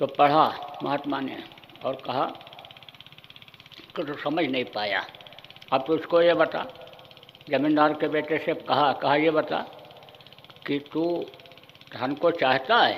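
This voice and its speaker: A fairly high-pitched man's voice with long, frequent pauses, audible room echo and noticeable background noise. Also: ordinary pitch variation. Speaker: spiritual guru. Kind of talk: sermon. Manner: forceful.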